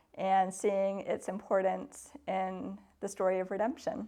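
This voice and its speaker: Someone with a Canadian accent speaks over a quiet background. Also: woman. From Canada. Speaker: church environmental ministry worker. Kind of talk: interview monologue. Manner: hesitant, with frequent fillers.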